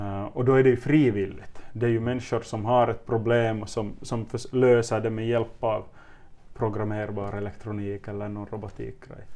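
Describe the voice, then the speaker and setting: A man's medium-pitched voice at a moderate pace, flat and monotone throughout. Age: 30s. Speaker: teacher. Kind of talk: interview. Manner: hesitant, repeats words.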